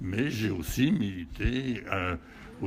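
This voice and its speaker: With vocal fry and lively intonation, a man talks at a very slow pace. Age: 80s+. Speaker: war veteran. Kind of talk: interview. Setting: hotel event. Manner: halting.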